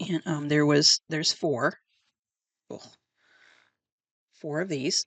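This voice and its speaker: A soft-spoken woman with a very deep, low voice talks at a very slow pace, leaving long, frequent pauses, her intonation fairly even and the sound dry and close with no echo. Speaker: book video host. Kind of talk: casual chat. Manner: hesitant, many fillers.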